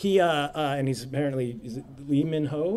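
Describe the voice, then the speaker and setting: At a moderate pace, a man with a fairly high pitch speaks amid audible room echo. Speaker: game designer giving a conference talk. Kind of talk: lecture. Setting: stage at a conference with audience. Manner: halting, many fillers.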